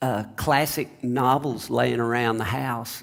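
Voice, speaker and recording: The delivery is fairly slow. An American accent comes through. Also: man. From Oklahoma. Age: 60s. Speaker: singer-songwriter. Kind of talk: interview conversation. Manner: halting, many fillers.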